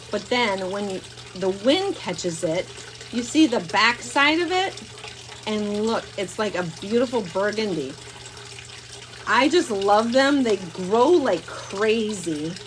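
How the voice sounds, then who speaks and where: Against noticeable background noise, a woman with an American accent talks at a very slow pace with long, frequent pauses. Her pitch is fairly high and her intonation lively. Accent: Wisconsin at times. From northeast Wisconsin. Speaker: plant shop owner. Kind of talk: live stream tutorial. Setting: greenhouse. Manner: casual, chatty.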